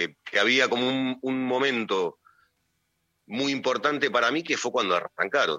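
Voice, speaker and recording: Speaking in a Rioplatense accent, a man keeps a fairly slow pace at medium pitch with ordinary pitch variation. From Argentina, Hurlingham (Buenos Aires area). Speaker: film director. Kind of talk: radio interview. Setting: phone call. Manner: halting.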